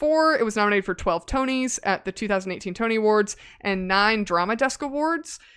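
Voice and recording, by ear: Natural read-aloud delivery with lively intonation.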